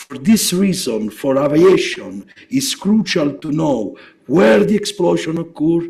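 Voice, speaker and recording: A man speaks with vocal fry. His pace is fairly slow. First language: Italian. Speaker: geophysics researcher. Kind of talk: lecture. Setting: seminar. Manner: halting, many fillers.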